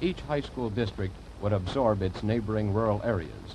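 Light noise sits in the background. A man is speaking. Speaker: program introducer narrator. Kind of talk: broadcast narration. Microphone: old recording.

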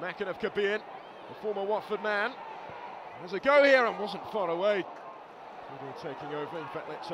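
Speaking in a high voice with an animated tone and ordinary pitch variation, a man swings widely in loudness over noticeable background noise. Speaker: football commentator. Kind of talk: live sports commentary, match highlights voiceover. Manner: fast-paced, animated play-by-play; urgent, excitable at key moments.

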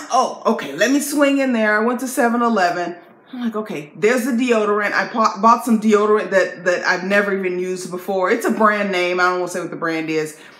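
The speech moves at a fairly quick pace with ordinary pitch variation, and audible room echo surrounds it. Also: woman, hardly any pauses. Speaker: video blogger. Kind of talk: casual chat. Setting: video to camera. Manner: animated. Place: home room. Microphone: phone near.

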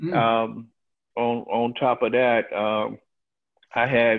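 In a Southern US accent, a man of medium pitch speaks in a flat monotone against a quiet background. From Alabama. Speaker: farmer; guest. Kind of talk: testimony. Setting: video call. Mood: aggrieved, earnest. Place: home room. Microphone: video call.

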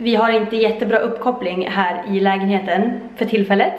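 A woman's voice at a moderate pace with fairly even intonation and audible room echo. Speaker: vlogger. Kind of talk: casual vlog chat. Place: home room. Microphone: phone near.

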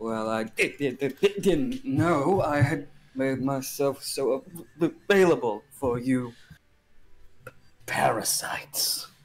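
A man in a cackling, put-on character voice, fairly high in pitch, speaks very slowly with long, frequent pauses. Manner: tired but energetic, cackling.

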